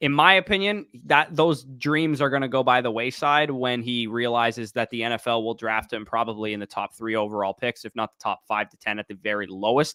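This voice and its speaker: This man has a normal speaking voice with a Canadian accent. He goes at a fairly quick pace with medium pitch and ordinary pitch variation. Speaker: fantasy football podcast host. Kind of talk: casual livestream chat.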